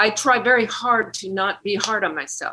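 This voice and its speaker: This is a woman with a bright, sharp tone. Her pitch varies in an ordinary way. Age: 70s. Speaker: singer-songwriter. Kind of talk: interview. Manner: halting.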